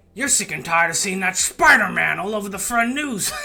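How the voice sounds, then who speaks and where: Putting on a character voice, a man speaks at a high pitch and a fairly quick pace. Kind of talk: exaggerated shouting. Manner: gruff, shouty.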